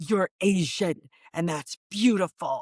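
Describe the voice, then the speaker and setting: An intense, growling put-on character voice that sounds female, pitched in a medium range for a woman. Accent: New York. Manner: intense, emphatic.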